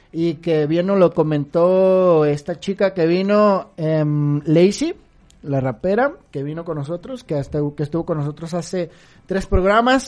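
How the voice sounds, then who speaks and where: In a plain, everyday voice, a woman speaks at a fairly slow pace and fairly low pitch with ordinary pitch variation. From Mexico, Guadalajara. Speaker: podcast co-host. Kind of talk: casual chat.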